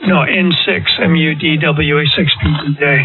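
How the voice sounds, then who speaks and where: A man's fairly high-pitched voice comes through amid noticeable background noise. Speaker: amateur radio operator. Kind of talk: casual chat. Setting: amateur radio transmission.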